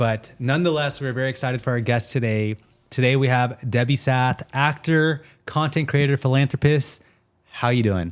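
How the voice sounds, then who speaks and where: On a very clean recording with a silent background, a man with an American accent and a plain, everyday voice speaks at medium pitch and a moderate pace. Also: ordinary pitch variation. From United States. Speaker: podcast host. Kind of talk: casual chat.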